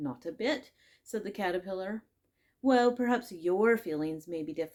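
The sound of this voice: The voice reads aloud in an unforced way. The background is quiet.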